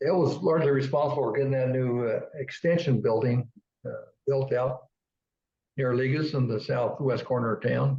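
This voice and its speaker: A man with a Midwestern American accent speaks at a medium pitch. His voice is somewhat breathy and very even in loudness. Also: fairly even intonation, moderate pace. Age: 70s. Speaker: local history webcast co-host. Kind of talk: casual chat. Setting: webcast studio.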